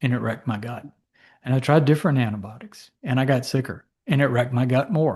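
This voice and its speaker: A somewhat breathy man speaks at a medium pitch in a quiet background. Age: 60s. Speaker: physician. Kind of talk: interview. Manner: conversational.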